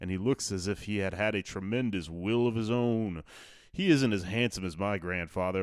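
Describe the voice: Pitch shifts in an ordinary way. The delivery is plain reading aloud.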